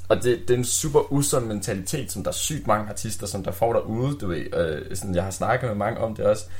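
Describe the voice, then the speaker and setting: Speech comes at a fairly quick pace with hardly any pauses, over noticeable background noise. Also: man, fairly low pitch for a man, ordinary pitch variation. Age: 20s. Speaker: rapper. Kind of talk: casual chat. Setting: studio.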